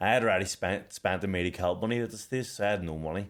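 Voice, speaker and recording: Very fast speech in a Belfast accent with ordinary pitch variation. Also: man. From Northern Ireland, Belfast. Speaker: boxer and podcast co-host. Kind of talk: casual chat. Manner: animated.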